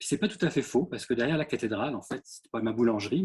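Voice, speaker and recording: Somewhat breathy and medium-pitched for a man, his voice moves with lively intonation. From France, Orléans. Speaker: ceramic artist. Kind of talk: artist talk with slides. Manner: hesitant, many fillers.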